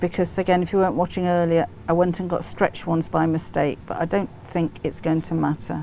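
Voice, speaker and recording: With an English accent, a woman speaks at a fairly quick pace, her fairly low voice dark and mellow in tone, with fairly even intonation. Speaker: sewing tutor. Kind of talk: live stream sewing tutorial. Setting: live stream. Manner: casual.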